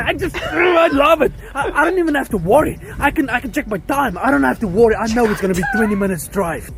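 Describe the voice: Through noticeable background noise, a man talks very fast with hardly any pauses, his extremely high pitch swinging very widely.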